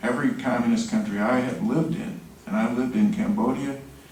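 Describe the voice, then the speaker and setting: Over noticeable background noise and audible room echo, a man with an American accent talks at a fairly quick pace in a fairly high pitch with very wide pitch swings. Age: 60s. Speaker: genocide prevention advocate. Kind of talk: press conference statement. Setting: news conference.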